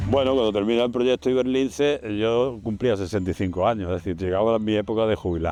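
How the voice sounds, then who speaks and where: Over noticeable background noise, a man speaks at a very fast pace with a fairly low pitch, ordinary pitch variation and very even loudness. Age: 70s. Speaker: retired conservation project director. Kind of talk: interview testimony. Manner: halting, with repetitions.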